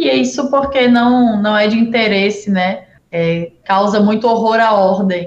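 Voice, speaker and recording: A woman with a plain, everyday voice talks at a fairly slow pace and fairly high pitch, with lively intonation and very even loudness. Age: 20s. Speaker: city councillor. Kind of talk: interview.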